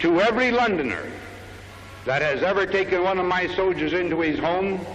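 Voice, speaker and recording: Over noticeable background noise, a man with an American accent talks at a high pitch and a moderate pace. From United States, Kansas. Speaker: army general. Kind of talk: public speech to crowd.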